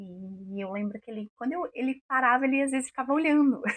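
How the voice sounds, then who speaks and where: Calm in tone and somewhat breathy, a woman talks at a fairly quick pace with ordinary pitch variation, in a dry, close sound with no echo. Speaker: women's mentor and radio presenter. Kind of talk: motivational talk.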